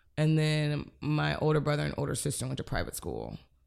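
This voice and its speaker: An American accent marks this woman's voice in a very clean recording with a silent background. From Cleveland, Ohio. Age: 30s. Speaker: comedian and artist. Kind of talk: casual chat. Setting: home apartment recording.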